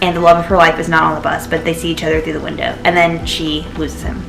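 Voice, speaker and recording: A woman with a fairly low pitch speaks in an animated tone, with audible room echo and music in the background. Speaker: book vlogger. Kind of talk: casual chat. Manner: fast.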